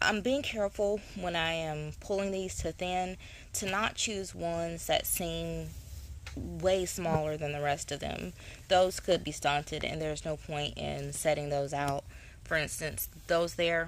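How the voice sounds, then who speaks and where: A woman talks at a fairly slow pace in a dry sound with no echo, light background noise behind her. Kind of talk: tutorial. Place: garden.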